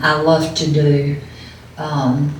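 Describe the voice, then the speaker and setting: Very deep, low pitch from a woman, with audible room echo and noticeable background noise around her. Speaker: widow. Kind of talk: testimony.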